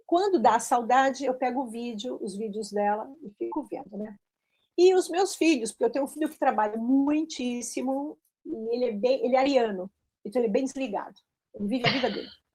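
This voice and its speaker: A woman with a high pitch and a dark, mellow tone speaks with lively intonation. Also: fairly quick pace, big swings in loudness. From Brazil. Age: 60s. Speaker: teacher who emigrated. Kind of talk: interview conversation.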